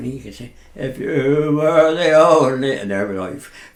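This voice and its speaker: A man with a rural Berkshire accent speaks with lively intonation over noticeable background noise. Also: big swings in loudness. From Lambourn, West Berkshire, England. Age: 80s+. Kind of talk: radio interview answer. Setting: studio.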